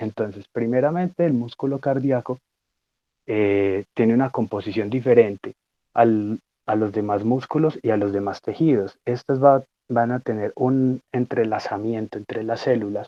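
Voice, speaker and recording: With an unremarkable speaking voice, a man talks at a medium pitch and a fairly slow pace, with ordinary pitch variation. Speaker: student lecturer on physiology. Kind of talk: lecture.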